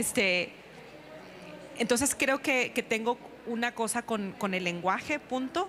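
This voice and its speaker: Noticeable noise fills the background while a woman talks at a fairly unhurried pace. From northern Mexico, Sonora. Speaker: writer and teacher. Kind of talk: panel discussion. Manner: halting.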